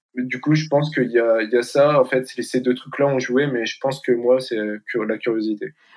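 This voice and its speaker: A man with an unremarkable speaking voice and medium pitch talks at a moderate pace, with hardly any pauses and fairly even intonation. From northern France, near Valenciennes. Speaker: student, association founder. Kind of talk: interview.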